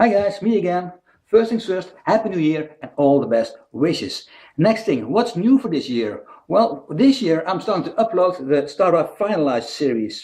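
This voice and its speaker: A dark, mellow tone with very wide pitch swings comes through at a moderate pace in a Dutch accent. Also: man, high pitch for a man. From Netherlands. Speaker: independent researcher, video blogger. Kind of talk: casual video talk explaining a theory.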